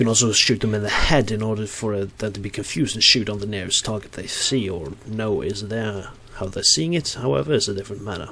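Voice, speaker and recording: At a very fast pace with hardly any pauses, a man speaks with ordinary pitch variation amid noticeable background noise. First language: Norwegian. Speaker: gaming video creator. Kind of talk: game commentary voice-over. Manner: halting, many fillers and restarts.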